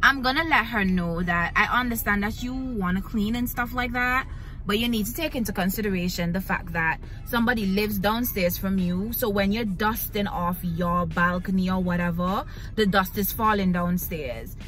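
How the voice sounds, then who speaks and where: Over faint background music, a woman speaks at a moderate pace with ordinary pitch variation, the sound dry with no echo. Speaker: vlogger. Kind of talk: casual vlog chat. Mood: annoyed storytelling. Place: car. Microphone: phone near.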